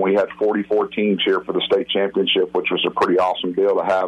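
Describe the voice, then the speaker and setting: A man talks very fast while noticeable background noise carries on behind him. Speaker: college football coach. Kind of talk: radio interview. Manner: friendly, hurried.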